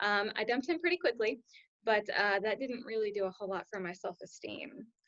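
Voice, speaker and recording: The woman has an unremarkable speaking voice at a fairly high pitch. She talks fairly quickly with lively intonation. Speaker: health coach. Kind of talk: personal story testimony. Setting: video call.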